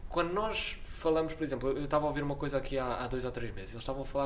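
Talking at a very fast pace, a man with a European Portuguese accent has a fairly high pitch and ordinary pitch variation. Noticeable background noise and audible room echo fill the recording. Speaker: podcast host. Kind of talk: casual interview chat. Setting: studio with cheap microphones.

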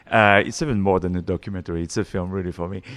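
A man speaks at a very fast pace. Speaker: podcast host. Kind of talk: interview. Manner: animated.

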